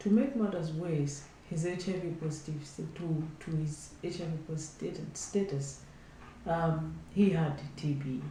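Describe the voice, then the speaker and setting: With noticeable background noise and audible room echo, a woman speaks at a fairly slow pace in a very deep, low pitch with ordinary pitch variation. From Malawi. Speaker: health advocate. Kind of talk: testimony.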